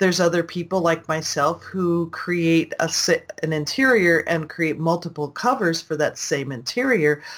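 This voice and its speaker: An unremarkable speaking voice moves at a moderate pace with ordinary pitch variation. Its loudness stays very even. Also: woman, fairly low pitch for a woman. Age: 60s. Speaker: online business consultant and self-publisher. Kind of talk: interview.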